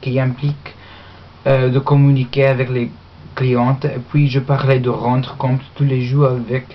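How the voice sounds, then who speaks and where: A woman with an English accent speaks at a fairly slow pace in a very deep, low pitch. Noticeable background noise runs underneath. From Australia. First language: English (speaking French). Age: young. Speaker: university language student. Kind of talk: mock job application speech. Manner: halting, many hesitations.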